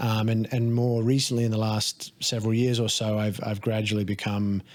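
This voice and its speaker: In a very clean recording with a silent background, a man speaks in an Australian accent with monotone, flat intonation. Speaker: life coach and stunt performer. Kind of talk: casual podcast conversation. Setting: studio.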